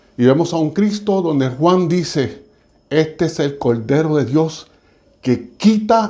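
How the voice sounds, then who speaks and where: Very slow in pace, a man's fairly high voice has a dark, mellow tone and lively intonation. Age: 60s. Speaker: church speaker. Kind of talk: sermon. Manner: halting.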